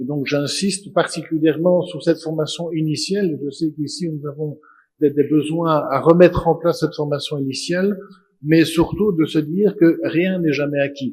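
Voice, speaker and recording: At a moderate pace, a man with a plain, everyday voice speaks in a fairly high pitch with fairly even intonation. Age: 60s. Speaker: auditor and panelist. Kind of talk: conference panel talk.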